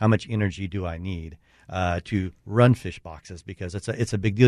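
A man's voice in dry, close sound with no echo, over a quiet background. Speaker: marine engine company representative. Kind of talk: radio interview.

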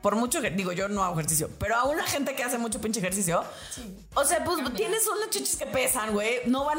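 A woman speaks at a fairly quick pace in a high pitch. Noticeable background noise and audible room echo come through. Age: 30s. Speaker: podcast host, therapist. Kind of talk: casual chat.

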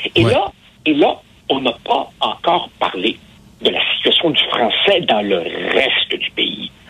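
The speech moves at a very slow pace, broken by long, frequent pauses. Noticeable background noise sits behind it. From immigrant to Quebec. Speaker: newspaper columnist and sociologist. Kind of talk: interview.

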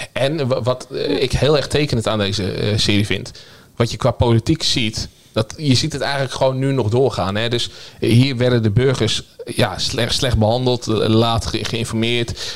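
Here a man with an ordinary speaking voice, medium in pitch, speaks at a moderate pace with fairly even intonation. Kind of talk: casual panel discussion.

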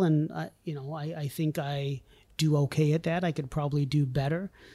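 This man has a dark, mellow tone and a fairly high pitch. He speaks with an American accent at a moderate pace. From US, rural Vermont. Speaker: company CEO. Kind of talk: interview.

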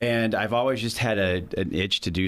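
Speaking with an American accent, a man keeps a moderate pace and a fairly even intonation. The recording is very clean, with a silent background. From US Midwest, St. Louis area. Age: 40s. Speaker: author and school director. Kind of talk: interview.

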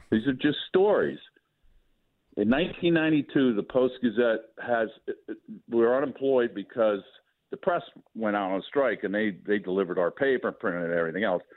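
A medium-pitched man talks at a moderate pace with lively intonation. He leaves long, frequent pauses. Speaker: retired sportswriter. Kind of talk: casual chat. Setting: phone call.

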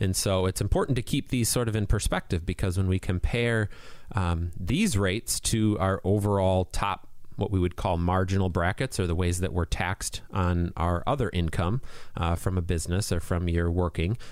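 On a very clean recording with a silent background, a man with a very deep, low voice speaks at a moderate pace, with ordinary pitch variation and very even loudness. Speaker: financial advisor. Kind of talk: radio talk show. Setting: studio.

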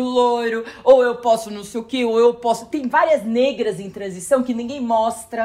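A woman's high-pitched voice moves at a moderate pace. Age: 40s. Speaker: journalist. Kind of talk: casual chat.

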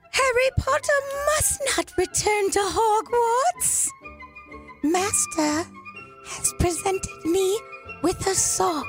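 Over clear background music, a put-on character voice at an extremely high pitch moves at a very slow pace. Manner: servile.

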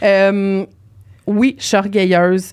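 This is a woman speaking. She has a Quebec accent. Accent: Québécois French. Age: 30s. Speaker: podcast guest, team leader and author. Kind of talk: casual chat. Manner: animated.

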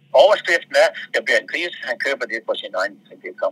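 A man talks at a fairly quick pace. The sound is dry and close with no echo, and there is noticeable background noise. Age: 80s+. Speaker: brewery chairman. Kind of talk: phone interview.

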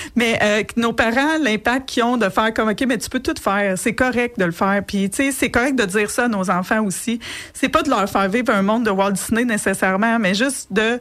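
With a Quebec accent, a woman with a fairly high voice and ordinary pitch variation speaks with hardly any pauses. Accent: Québécois French. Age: 40s. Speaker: entrepreneur and coach. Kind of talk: radio interview. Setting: radio studio.

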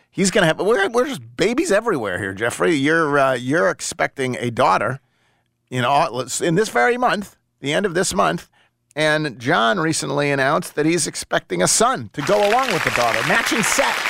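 Very wide pitch swings mark a man's bright, sharp voice at a fairly high pitch, with vocal fry, on a very clean recording with a silent background. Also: moderate pace. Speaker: sports radio host. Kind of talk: sports talk radio. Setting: studio.

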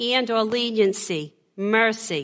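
In a very clean recording with a silent background, a woman with a Boston accent speaks with a fairly high pitch and lively intonation. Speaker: preacher. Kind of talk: sermon.

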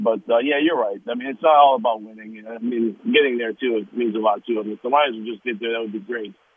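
Using a plain, everyday voice with an American accent, a man talks at a fairly quick pace with lively intonation. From Detroit area, Michigan. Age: 50s. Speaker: caller. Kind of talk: sports talk radio call.

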